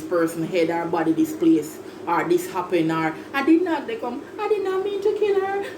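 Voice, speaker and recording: A woman speaks in an animated tone at a moderate pace. Noticeable background noise runs behind her. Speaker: YouTuber. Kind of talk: vlog monologue.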